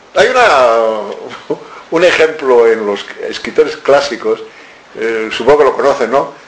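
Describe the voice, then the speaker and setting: Amid noticeable background noise and audible room echo, a man talks at a fairly slow pace. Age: 70s. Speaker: author. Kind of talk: lecture. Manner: animated.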